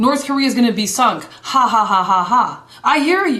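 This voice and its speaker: Over noticeable background noise, a woman with a high pitch speaks in an animated tone with lively intonation. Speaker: evangelist. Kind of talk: live broadcast commentary. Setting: live video broadcast. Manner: fast.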